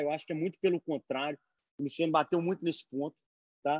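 A man speaks with a dry, close sound and no echo. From Brazil, Belo Horizonte. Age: 30s. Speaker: beverage entrepreneur. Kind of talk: online panel discussion.

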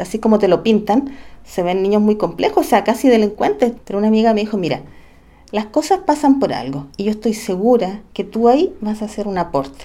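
This woman has a dark, mellow tone and a fairly high pitch. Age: 40s. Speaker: special education teacher. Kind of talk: testimony.

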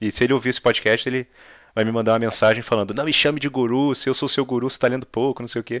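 A man speaks in a medium pitch at a very fast pace, with monotone, flat intonation. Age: 30s. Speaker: podcast host. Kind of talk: casual interview.

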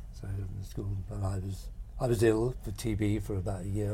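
A man with a Norfolk accent speaks, and the room echo is audible. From Great Yarmouth, Norfolk, eastern England. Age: 70s. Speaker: painter. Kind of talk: casual interview. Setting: outdoors, bird watching hide.

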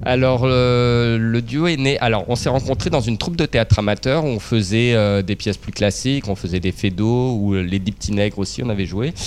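A man's medium-pitched voice at a moderate pace, with ordinary pitch variation, hardly any pauses and music in the background. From Brittany, north Finistère. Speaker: comedian and stage actor. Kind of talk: interview.

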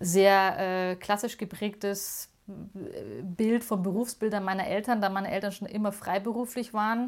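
A woman with an unremarkable speaking voice and ordinary pitch variation is heard in a very clean recording with a silent background. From Munich, Bavaria. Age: 40s. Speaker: museum founder. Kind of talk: interview.

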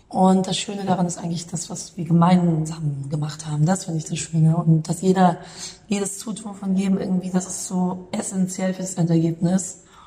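Noticeable background noise sits behind a woman speaking in a monotone, flat intonation. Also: medium pitch for a woman, moderate pace. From Munich, Bavaria. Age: 30s. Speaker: calligrapher and artist. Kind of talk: interview.

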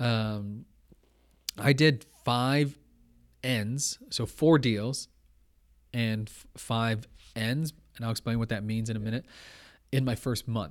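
A man speaks in a Canadian accent at a very slow pace, with long, frequent pauses and fairly even intonation. The recording is very clean, with a silent background. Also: medium pitch for a man. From Toronto, Canada. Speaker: entrepreneur and real estate agent. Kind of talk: interview conversation. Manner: casual, many fillers.

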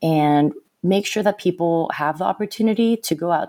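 This woman has an American accent and a fairly low voice with a dark, mellow tone, ordinary pitch variation and a very clean recording over a silent background. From Southern California. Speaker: climbing organization founder and board member. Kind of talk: interview conversation.

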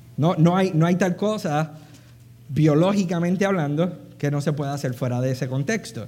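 Audible room echo surrounds a man whose fairly high voice has a dark, mellow tone. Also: ordinary pitch variation, moderate pace. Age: 40s. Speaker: preacher. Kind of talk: sermon.

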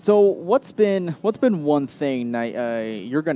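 With an American accent and lively intonation, a man speaks in an unremarkable speaking voice. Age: 20s. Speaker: local sports radio host. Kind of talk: sports interview show. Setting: live broadcast from a pizza restaurant.

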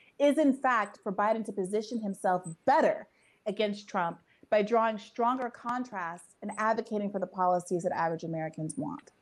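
Using a normal speaking voice, a woman talks at a fairly quick pace with lively intonation and a fairly high pitch. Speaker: journalist. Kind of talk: political discussion.

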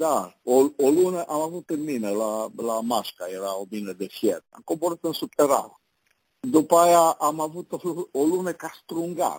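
Pitch swings very widely and loudness rises and falls a lot in this fairly slow delivery, recorded with a dry, close sound and no echo. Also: man, fairly high pitch for a man. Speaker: business trainer and advisor. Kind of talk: casual interview.

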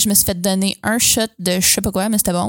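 In a Quebec accent, a woman speaks at a medium pitch with a monotone, flat delivery, her dry, close sound carrying no echo on a very clean recording with a silent background. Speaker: podcast co-host. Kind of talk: casual chat.

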